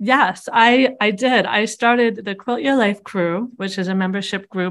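Moderately paced, a woman speaks in an unremarkable speaking voice of medium pitch, with ordinary pitch variation. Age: 40s. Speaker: quilter and online quilting community founder. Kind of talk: interview.

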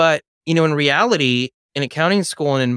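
With an American accent, a man speaks at a moderate pace with ordinary pitch variation, in a very clean recording with a silent background and a dry, close sound with no echo. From Los Angeles, US. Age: 30s. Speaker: real estate broker. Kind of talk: interview. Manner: animated.

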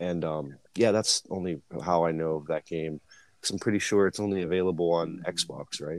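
With fairly even intonation, a man talks in a very deep, low pitch on a very clean recording with a silent background. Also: moderate pace. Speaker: podcast host. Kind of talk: casual chat.

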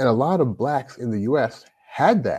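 The voice has a dark, mellow tone and speaks with an American accent. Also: man. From Louisville, Kentucky (US South), Jamaican parents. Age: 40s. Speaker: life coach. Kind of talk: casual interview.

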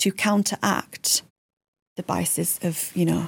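A woman in a Yorkshire accent speaks at a moderate pace, with a dry, close sound and no echo. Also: very clean recording, silent background. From Yorkshire, England. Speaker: digital marketing executive. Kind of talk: casual chat.

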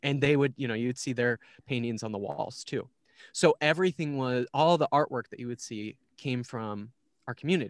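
A man with an Upper Midwest accent speaks at a moderate pace, with big swings in loudness. The recording is very clean with a silent background and a dry, close sound with no echo. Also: medium pitch for a man, ordinary pitch variation. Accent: Upper Midwest American. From Minnesota. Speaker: church community organizer. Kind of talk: casual interview.

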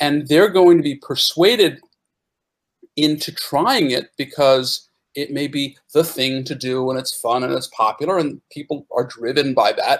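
This man has a plain, everyday voice at a fairly high pitch. He talks at a fairly slow pace with ordinary pitch variation. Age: 50s. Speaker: panelist, longtime stock trader. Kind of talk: casual panel discussion.

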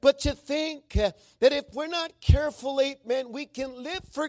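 A man speaks at an extremely high pitch and a fairly slow pace. The sound is dry and close, with no echo. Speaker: preacher. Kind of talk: sermon. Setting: church with congregation. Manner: frequent filler words like uh and amen.

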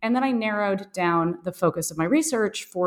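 In an unremarkable speaking voice with an American accent, the speaker goes at a fairly quick pace with ordinary pitch variation over a very clean recording with a silent background. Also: woman. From US, Boston. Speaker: psychologist and author. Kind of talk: interview.

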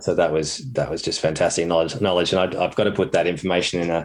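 Speaking with an Australian accent, a man has a very deep, low pitch, fairly even intonation and a very fast pace. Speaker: children's TV writer. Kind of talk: interview conversation. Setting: studio.

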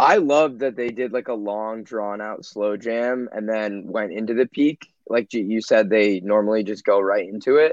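Over a quiet background, a man with a fairly low pitch talks in an unremarkable speaking voice at a moderate pace, with fairly even intonation and hardly any pauses. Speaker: podcast guest. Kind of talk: casual chat.

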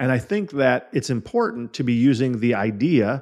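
Captured on a very clean recording with a silent background, a man with a plain, everyday voice speaks at a medium pitch and a moderate pace. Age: 40s. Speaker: podcast host and insurance sales coach. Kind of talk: solo podcast monologue.

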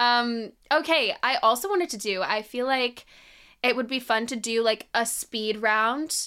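At a fairly slow pace, a woman speaks with a high pitch, a bright, sharp tone and an animated, upbeat tone, using ordinary pitch variation on a very clean recording with a silent background. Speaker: podcast host. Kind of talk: casual chat.

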